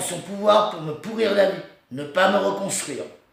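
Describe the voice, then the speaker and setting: A man's high voice at a fairly slow pace, with audible room echo. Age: 40s. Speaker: person telling his own story. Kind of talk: personal testimony. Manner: halting, stammering.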